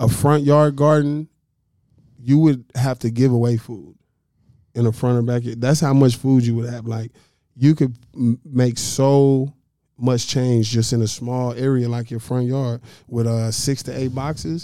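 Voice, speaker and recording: A man's dark, mellow voice at medium pitch, with an American accent, fairly even intonation and a fairly slow pace. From North Dallas, Texas, partly Little Rock, Arkansas. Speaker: urban farmer and planter box entrepreneur. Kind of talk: casual interview chat.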